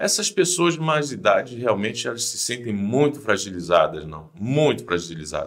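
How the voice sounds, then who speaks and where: A man at medium pitch with vocal fry, very wide pitch swings and a moderate pace. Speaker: religious channel host. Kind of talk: casual chat.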